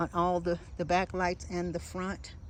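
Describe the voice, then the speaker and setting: A woman with a normal speaking voice talks at a fairly low pitch. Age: 60s. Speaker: van lifer. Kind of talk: casual talk to camera.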